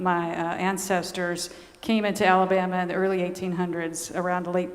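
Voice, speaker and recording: A woman speaks at a moderate pace in a Southern US accent, her intonation monotone and flat. The room echoes audibly, and there is noticeable background noise. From US South, Georgia. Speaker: nun and author. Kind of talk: talk to a church audience.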